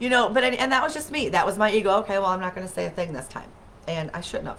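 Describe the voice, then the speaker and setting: Over noticeable background noise, a woman with a medium pitch speaks very fast with lively intonation. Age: 40s. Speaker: wellness livestream host. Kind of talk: casual chat. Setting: webcam livestream.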